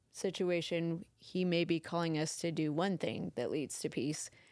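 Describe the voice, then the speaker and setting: A woman uses a normal speaking voice, fairly low in pitch, at a fairly slow pace with fairly even intonation. The recording is very clean and the background silent. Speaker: church podcast co-host. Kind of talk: casual faith conversation.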